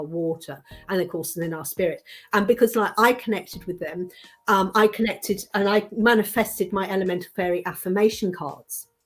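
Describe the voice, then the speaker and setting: Music in the background behind a moderate-paced woman, her pitch medium and its variation ordinary. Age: 60s. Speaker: card reader and manifesting mentor. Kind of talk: interview. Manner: halting.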